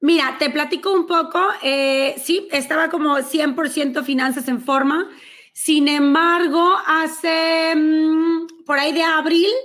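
The voice belongs to a woman. She speaks at a fairly slow pace. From Mexico, Monterrey. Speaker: finance coach. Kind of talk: interview.

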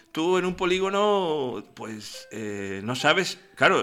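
A man's raised, projected voice at a very slow pace, with lively intonation. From Alcalá de Henares, Madrid, Spain. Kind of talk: casual comedic chat.

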